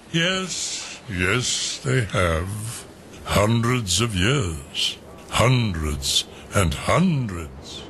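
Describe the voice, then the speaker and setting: The speaker uses a put-on character voice with very wide pitch swings. The delivery is very slow, with clear background noise. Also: man, fairly low pitch for a man. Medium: audio drama. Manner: blustering, rambling, forgetful.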